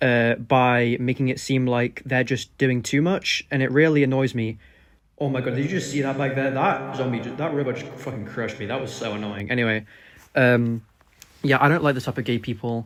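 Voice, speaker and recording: A man with an English accent, medium pitch, fairly even intonation and a fairly quick pace. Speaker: political commentary YouTuber. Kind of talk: reaction commentary. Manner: unscripted, halting with fillers. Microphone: cheap microphone.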